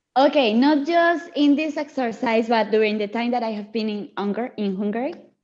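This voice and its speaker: A woman with a Spanish accent talks at a fairly quick pace, her high pitch showing ordinary variation. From Latin America. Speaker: student. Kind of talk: class discussion.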